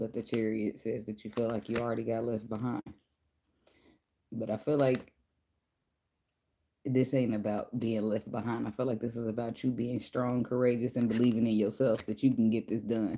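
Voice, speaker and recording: Quiet and dark, mellow in tone, a woman with a very deep, low pitch speaks in a monotone, flat way at a moderate pace, leaving long, frequent pauses. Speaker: tarot reader. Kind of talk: tarot reading livestream. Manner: quiet, speaking low; casual, conversational.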